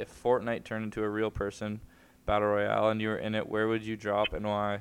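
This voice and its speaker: On a very clean recording with a silent background, a man speaks at a fairly quick pace. His pitch is fairly low and his intonation monotone and flat. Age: young. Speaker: podcast co-host. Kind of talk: casual chat.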